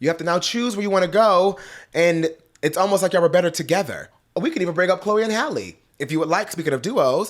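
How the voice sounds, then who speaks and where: A man with an American accent talks very fast in an animated tone, his voice pitched high for a man with ordinary pitch variation, on a very clean recording with a silent background. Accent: Detroit accent, slips out at times. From Detroit, US. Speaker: pop culture commentator. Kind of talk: casual commentary to camera.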